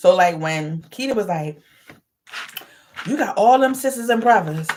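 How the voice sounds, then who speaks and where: The voice is loud, moving at a moderate pace with very wide pitch swings. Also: woman, medium pitch for a woman. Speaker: vlogger. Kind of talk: casual vlog monologue. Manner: aggressive.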